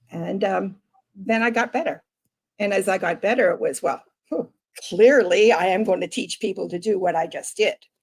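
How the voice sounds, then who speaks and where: A woman speaks in a normal speaking voice at a moderate pace. Her pitch is medium, with ordinary variation. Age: 60s. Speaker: life coach. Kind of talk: interview.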